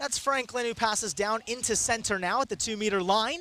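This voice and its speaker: A man with a high-pitched voice projects it loudly in an energetic tone. There is noticeable background noise. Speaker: sports broadcaster. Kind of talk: live radio play-by-play. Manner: fast, energetic.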